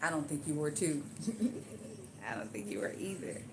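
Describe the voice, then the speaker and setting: A woman speaks at a fairly quick pace with an animated tone and lively intonation, with audible room echo around her voice. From Louisiana. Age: 40s. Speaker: live streamer doing hair. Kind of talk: casual live stream chat.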